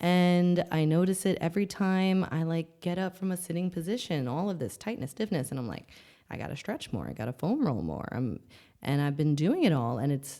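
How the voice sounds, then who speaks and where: A woman with a fairly low, dark, mellow voice speaks at a moderate pace, her intonation lively. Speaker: podcast host, wellness. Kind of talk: podcast monologue. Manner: casual, conversational.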